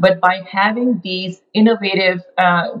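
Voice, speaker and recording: At a fairly slow pace, a woman with a medium pitch speaks in a somewhat breathy voice with fairly even intonation. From developing country. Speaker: physician and corporate chief medical officer. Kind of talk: interview. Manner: hesitant with frequent fillers.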